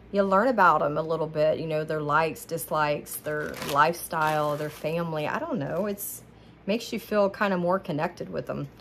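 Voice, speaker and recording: Over light background noise, a woman talks at a very deep, low pitch with ordinary pitch variation. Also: fairly quick pace. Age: 40s. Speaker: haul vlogger. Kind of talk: casual product haul monologue. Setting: home kitchen, ring light camera. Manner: chatty, rambling. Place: kitchen. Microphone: phone near.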